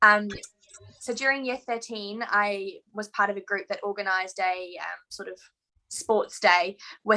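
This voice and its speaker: A woman's bright, sharp voice in a New Zealand accent, medium-pitched and fairly slow, with fairly even intonation and big swings in loudness. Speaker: veterinarian. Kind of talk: interview.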